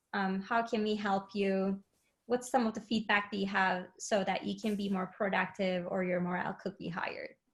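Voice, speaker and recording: At a moderate pace, a woman speaks in a medium pitch, somewhat breathy and with monotone, flat intonation. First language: not English. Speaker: head of learning and enablement, webinar guest. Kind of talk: webinar interview. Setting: live webinar, remote.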